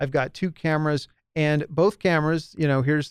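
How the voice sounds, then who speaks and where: Monotone, flat delivery at a moderate pace, dry and close with no echo. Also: man. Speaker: podcast host and small business advisor. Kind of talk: solo podcast talk to audience. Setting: home studio with lit background, live stream. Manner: casual, many fillers.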